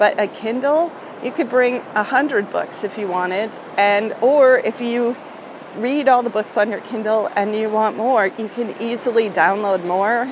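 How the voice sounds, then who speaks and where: A woman speaks in a relaxed tone at a fairly high pitch with ordinary pitch variation. Background noise is noticeable. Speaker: travel podcast host. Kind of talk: live travel recording, casual tips. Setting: on location on a tropical island. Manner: slow.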